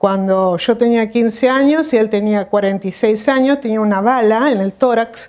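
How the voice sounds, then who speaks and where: A woman with a Rioplatense accent, fairly high-pitched, at a fairly slow pace with ordinary pitch variation. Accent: Argentine Rioplatense Spanish. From Argentina, Buenos Aires province. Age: 60s. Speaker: doctor. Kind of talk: interview. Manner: halting, with many fillers.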